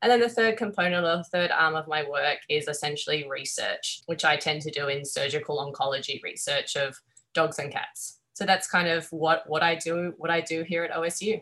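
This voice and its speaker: Speaking at a moderate pace with hardly any pauses, a woman has a bright, sharp tone, a fairly low pitch and ordinary pitch variation. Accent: Australian. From Australia. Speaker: veterinary surgeon and professor. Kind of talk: interview.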